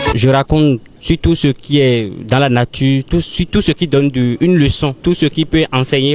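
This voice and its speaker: Fairly high-pitched man with a Beninese accent and fairly even intonation. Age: young. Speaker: storyteller, actor. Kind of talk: interview answer.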